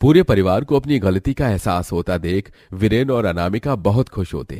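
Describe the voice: With a dark, mellow tone and fairly low pitch, a man speaks at a moderate pace with lively intonation in a dry, close sound with no echo.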